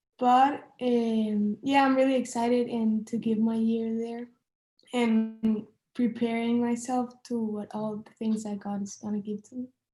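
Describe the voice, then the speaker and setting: A woman's dark, mellow voice, fairly slow, with monotone, flat intonation. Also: fairly high pitch for a woman. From Venezuela or Costa Rica. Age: young. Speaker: missionary trainee. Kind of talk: group introduction, casual.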